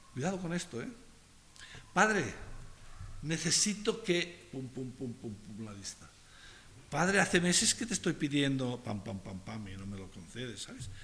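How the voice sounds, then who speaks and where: Amid audible room echo, a man at medium pitch speaks fairly slowly with long, frequent pauses, a bright, sharp tone, very wide pitch swings and big swings in loudness. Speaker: pastor. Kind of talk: sermon.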